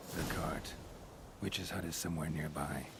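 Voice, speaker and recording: A man performs a put-on character voice at a moderate pace. Loud background noise is present. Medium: video game. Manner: terse, clipped.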